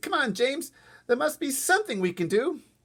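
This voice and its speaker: A man does a put-on character voice at an extremely high pitch, with very wide pitch swings. He talks at a fairly quick pace. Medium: read story.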